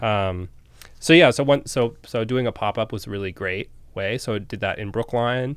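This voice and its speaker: With an American accent, a man talks in an ordinary speaking voice at a medium pitch. His moderate pace and ordinary pitch variation come through on a very clean recording with a silent background. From Massachusetts, near Boston. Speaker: restaurant owner. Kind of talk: interview.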